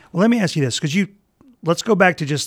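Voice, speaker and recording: Speaking with a Mississippi accent, a man uses lively intonation in a dry, close recording with no echo. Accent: Mississippi Southern. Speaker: podcast co-host, seminary professor. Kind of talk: casual chat.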